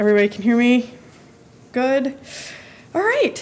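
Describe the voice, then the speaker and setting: A loud woman's voice, high-pitched, at a moderate pace. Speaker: housing consultant presenting a report. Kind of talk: presentation at a public meeting. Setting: city planning commission meeting.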